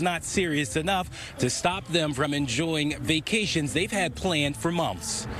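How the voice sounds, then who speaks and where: A man speaks at a moderate pace in a fairly high pitch. Background music plays behind him. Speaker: TV news reporter. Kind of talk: TV news report.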